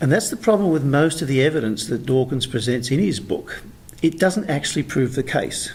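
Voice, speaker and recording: Speaking with an Australian accent, a man talks at a fairly quick pace and a fairly high pitch with lively intonation. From Australia, rural New South Wales. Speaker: author. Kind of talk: interview.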